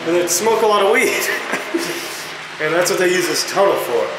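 A man is talking with music playing in the background. The room echo is audible. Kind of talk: casual vlog chat. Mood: joking, slightly nervous. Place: tunnel cave. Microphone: phone near.

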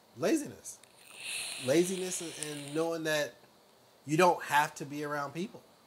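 Over noticeable background noise, a man with an American accent speaks at a moderate pace, his pitch fairly high and his intonation fairly even. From US South. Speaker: truck driver. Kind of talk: casual chat. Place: home room. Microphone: lapel.

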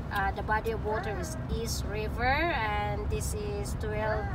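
A woman speaks at a very slow pace. Loud background noise fills the recording. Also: dry sound with no echo. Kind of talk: casual vlog chat. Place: car. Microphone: phone near.

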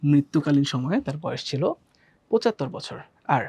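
A woman's very deep, low voice with a dark, mellow tone and lively intonation, in a dry, close recording with no echo. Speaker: educational video presenter. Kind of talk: tutorial.

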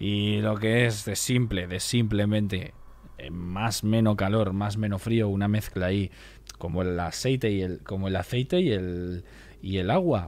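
A fairly low-pitched male voice with ordinary pitch variation. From Spain. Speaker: streamer. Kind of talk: casual live stream chat. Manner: animated. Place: home room. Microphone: studio mic.

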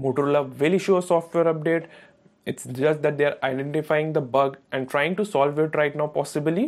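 A man talks in a fairly high pitch at a moderate pace. His pitch varies in an ordinary way.

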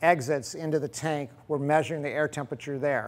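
The speaker is a man. He talks at a moderate pace. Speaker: equipment demonstrator. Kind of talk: tutorial. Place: workshop.

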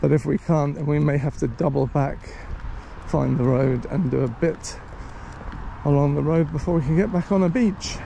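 A man with a fairly high voice speaks at a moderate pace, pausing long and often. His pitch varies in an ordinary way, and there is noticeable background noise. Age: 60s. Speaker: walking vlogger. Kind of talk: casual vlog narration while walking. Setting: outdoors.

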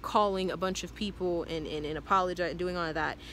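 A woman with a fairly low pitch and a bright, sharp tone speaks in fairly even intonation, the sound dry with no echo over light background noise. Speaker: vlogger. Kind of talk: casual vlog chat. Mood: earnest, reflective. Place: garden. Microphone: phone near.

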